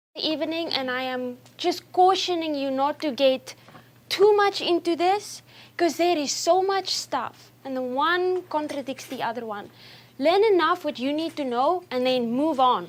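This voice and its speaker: Speaking with a non-native accent, a woman talks at a fairly slow pace in a high-pitched voice with lively intonation. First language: not English. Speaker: nutrition speaker. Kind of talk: talk to an audience. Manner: speeds up when excited.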